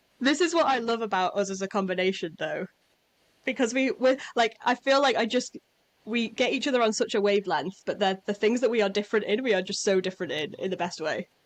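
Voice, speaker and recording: Very fast and lively in intonation, a woman speaks in a fairly high pitch. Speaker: podcast co-host. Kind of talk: casual chat. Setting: home, headphones on, windows open. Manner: loud.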